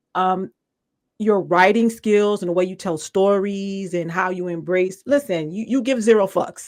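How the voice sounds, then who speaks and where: Speaking with an American accent, a woman talks at a fairly slow pace and medium pitch with ordinary pitch variation. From New York. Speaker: podcast host. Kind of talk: casual interview.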